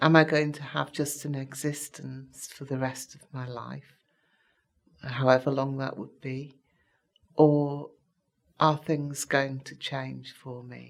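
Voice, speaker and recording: Very slowly and with long, frequent pauses, a woman speaks at a very deep, low pitch in a monotone, flat intonation, her loudness swinging widely. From Merseyside, northern England (Southport). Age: 60s. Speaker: retired nurse, patient. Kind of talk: personal testimony. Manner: hesitant, with frequent fillers.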